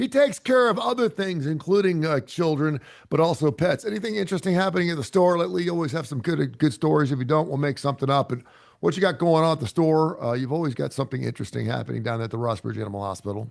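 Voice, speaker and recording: Against a quiet background, a man with an American accent talks at a very fast pace in a fairly high pitch, with very wide pitch swings. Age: 60s. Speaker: radio host. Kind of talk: casual chat. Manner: halting.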